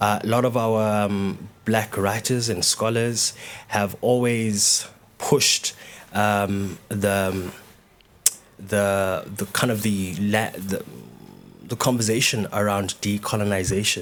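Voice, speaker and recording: A man in a Zulu accent, fairly low-pitched and very slow, with monotone, flat intonation. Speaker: dancer and choreographer. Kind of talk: panel discussion. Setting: stage with live audience. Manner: halting, many repetitions and fillers.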